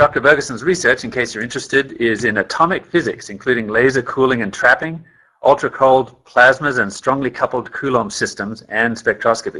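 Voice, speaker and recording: With hardly any pauses, a man in an Australian accent talks at a fairly quick pace in a bright, sharp tone, his pitch varying in an ordinary way over a quiet background. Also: medium pitch for a man. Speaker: company scientist presenting a training webinar. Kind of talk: webinar presentation. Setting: webinar call.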